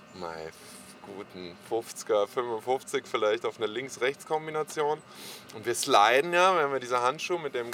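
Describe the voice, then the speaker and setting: A man talks at a moderate pace with an unremarkable speaking voice and medium pitch. His intonation is lively. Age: 40s. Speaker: helmet maker and skater. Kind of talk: casual interview.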